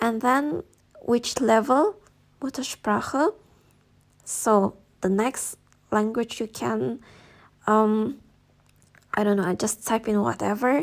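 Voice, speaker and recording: A woman with an Indonesian accent talks at a fairly high pitch. Her pace is very slow, with long, frequent pauses. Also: ordinary pitch variation, very clean recording, silent background. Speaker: YouTuber giving study-abroad advice. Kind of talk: tutorial. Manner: casual, with fillers.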